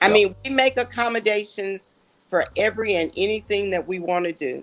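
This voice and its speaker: On a very clean recording with a silent background, a woman with a plain, everyday voice speaks at a moderate pace and medium pitch, with ordinary pitch variation. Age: 60s. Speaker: city mayor. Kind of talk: interview.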